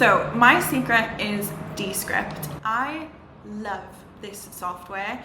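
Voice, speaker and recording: An animated voice carries audible room echo. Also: woman. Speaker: social media manager and YouTuber. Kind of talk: tutorial. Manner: casual, animated.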